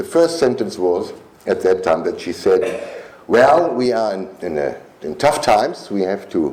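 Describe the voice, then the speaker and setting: A man speaks at a fairly slow pace. Noticeable background noise is heard behind him. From Germany. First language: German. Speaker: politician. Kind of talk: political speech. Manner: halting.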